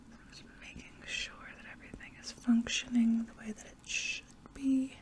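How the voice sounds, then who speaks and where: A soft-spoken woman with a high pitch and gentle tone, at a fairly slow pace over light background noise. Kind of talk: roleplay exam talk to viewer. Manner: soft, gentle ASMR doctor voice. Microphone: phone near.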